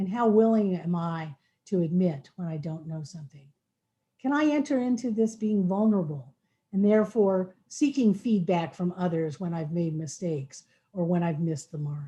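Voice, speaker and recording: With lively intonation, a woman speaks at a moderate pace in a fairly low, dark, mellow and somewhat breathy voice. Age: 60s. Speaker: equity trainer presenting to a school board. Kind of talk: presentation to a school board work session.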